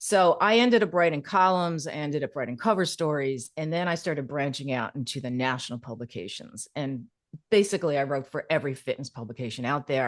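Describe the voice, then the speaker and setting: The speech comes at a very fast pace with lively intonation. The background is quiet. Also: woman. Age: 60s. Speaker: copywriter, former personal trainer. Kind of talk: podcast interview. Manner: casual, conversational with fillers.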